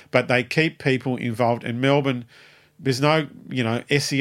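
Over a silent background on a very clean recording, a man with an Australian accent talks fairly slowly at medium pitch, with ordinary pitch variation. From Tasmania, Australia. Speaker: music booking agent and promoter. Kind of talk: interview. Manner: rambling, halting.

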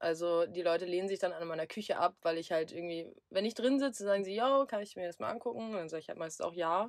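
Barely pausing, a woman speaks at a very fast pace in a medium pitch with ordinary pitch variation. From southern Lower Saxony, Germany. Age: 20s. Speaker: van traveller. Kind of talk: casual chat.

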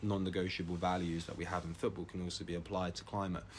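A very fast, somewhat breathy man's voice, very deep and low in pitch. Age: 20s. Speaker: climate activist. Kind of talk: casual chat. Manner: animated.

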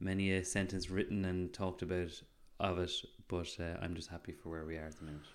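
Here a man with an Irish accent talks at a fairly quick pace. His very deep, low voice stays monotone and flat. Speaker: podcast co-host. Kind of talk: casual chat.

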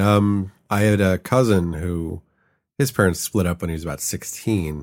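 Recorded very cleanly against a silent background, a man with an American accent has a normal speaking voice and a moderate pace. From US Midwest, Chicago. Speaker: web designer. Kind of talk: interview. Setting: in person recording.

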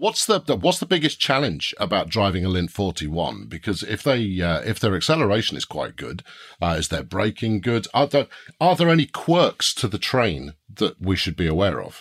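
A man with a British accent, fairly low in pitch, with very wide pitch swings, in a very clean recording with a silent background. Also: moderate pace. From Britain. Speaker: podcast host. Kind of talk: scripted presenting; interview.

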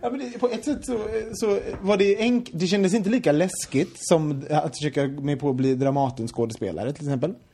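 Talking at a fairly quick pace, a man with a Gothenburg accent and a fairly high pitch makes very wide pitch swings over noticeable background noise. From Sweden, Gothenburg. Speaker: podcast host. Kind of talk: casual chat.

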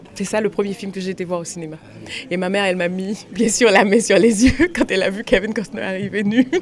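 This woman speaks at a fairly quick pace, with noticeable noise in the background. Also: medium pitch for a woman, ordinary pitch variation. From Haiti, Port-au-Prince. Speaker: actress and film director. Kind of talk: interview. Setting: outside a cinema after a screening.

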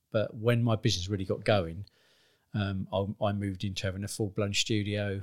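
Speaking in a southern English accent, a man with a fairly low pitch goes at a fairly quick pace on a very clean recording with a silent background. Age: 50s. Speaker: business owner. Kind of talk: interview.

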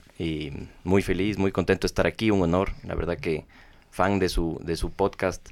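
A man speaks at a moderate pace with a very deep, low pitch and fairly even intonation on a very clean recording with a silent background. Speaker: hotel company executive. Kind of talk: interview. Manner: halting, many repeated words.

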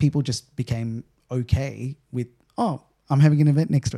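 Dry and close with no echo, a man speaks in a dark, mellow tone with an Australian accent. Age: 30s. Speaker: event technology CEO. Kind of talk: interview.

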